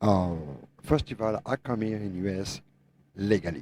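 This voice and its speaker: A man speaks in a fairly low voice with a dark, mellow tone. His pitch varies in an ordinary way. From France. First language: French. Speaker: truck driver, owner operator. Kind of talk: podcast discussion.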